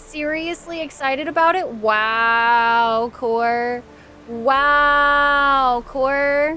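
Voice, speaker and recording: A woman's high, raised and projected voice with ordinary pitch variation, music playing in the background. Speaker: game streamer. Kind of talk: live gameplay stream chat. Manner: animated.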